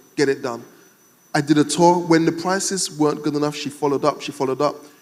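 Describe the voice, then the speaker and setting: Speaking very fast with a British accent, a man uses a fairly high pitch. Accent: UK. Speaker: entrepreneur, panel speaker. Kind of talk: panel discussion. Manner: animated.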